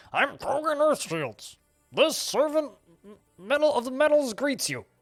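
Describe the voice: Faint music plays in the background as someone performs a put-on character voice at a moderate pace.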